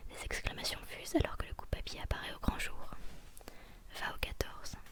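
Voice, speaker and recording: Whispering at a moderate pace, a woman is heard over noticeable background noise. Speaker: ASMR creator. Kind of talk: read story. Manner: whispered.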